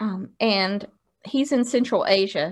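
With an ordinary speaking voice, a woman talks at a fairly slow pace in a fairly high pitch with ordinary pitch variation, recorded very cleanly against a silent background. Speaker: podcast co-host. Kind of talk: casual chat. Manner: playful.

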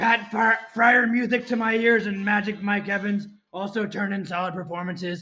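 A man with a high voice for a man speaks at a fairly quick clip, raising and projecting his voice. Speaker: recap reader. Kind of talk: comedic scripted recap. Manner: animated, jokey.

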